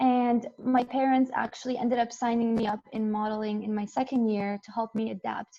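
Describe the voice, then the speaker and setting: Talking at a fairly quick pace, a woman keeps a monotone, flat intonation at a fairly high pitch. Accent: Arabic. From Jordan, moved to Canada at 12. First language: Arabic. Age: 20s. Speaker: engineering student and model giving a talk. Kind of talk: invited talk.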